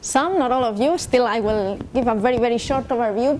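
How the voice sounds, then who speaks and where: A high female voice with a Spanish accent, fairly quick pace and ordinary pitch variation. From Spain. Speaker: industry program manager, invited speaker. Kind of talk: lecture. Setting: summer school lecture hall with audience.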